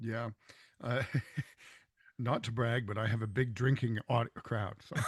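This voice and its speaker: A man of medium pitch with a Canadian accent, somewhat breathy, at a fairly slow pace with fairly even intonation, in a dry, close sound with no echo. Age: 60s. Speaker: professional musician. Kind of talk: casual chat. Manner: halting, many fillers.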